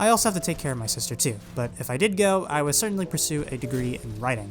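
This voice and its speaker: Man at a very fast pace, very wide pitch swings and noticeable background noise. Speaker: gaming YouTuber. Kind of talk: Q&A video reading and answering viewer questions.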